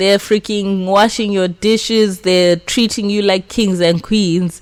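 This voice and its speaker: A woman at medium pitch with music in the background. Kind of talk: casual reaction commentary. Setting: room with echo.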